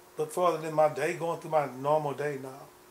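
Over light background noise, a man speaks in a monotone, flat delivery. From Texas, McKinney; Texas. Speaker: former gang founder turned minister; interviewee. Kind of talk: interview. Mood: reflective, earnest. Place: home room.

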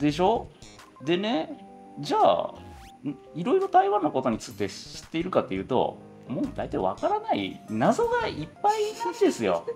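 Faint music can be heard behind the voice. The delivery is moderately paced. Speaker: lab head, researcher. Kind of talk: casual conversation.

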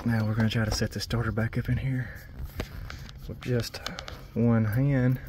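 The speech moves at a fairly quick pace, the sound dry with no echo and noticeable background noise underneath. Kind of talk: tutorial. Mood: relaxed, helpful. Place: farm machine. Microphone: phone near.

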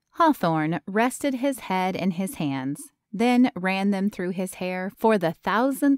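Lively intonation marks an unforced reading voice, with a quiet background behind it.

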